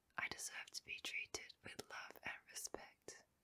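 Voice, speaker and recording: A woman whispering in a soothing tone at a very slow pace. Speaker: ASMR sleep hypnosis guide. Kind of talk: sleep hypnosis with affirmations. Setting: studio, close microphone. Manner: whispered, soothing, slow. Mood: calm, soothing, loving.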